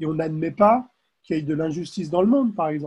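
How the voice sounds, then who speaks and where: A dark, mellow tone with ordinary pitch variation. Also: man. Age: 50s. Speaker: career transition coach. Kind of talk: interview. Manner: halting, frequent hesitations.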